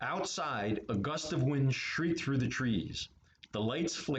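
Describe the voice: Plain reading aloud comes with a lively rise and fall in intonation.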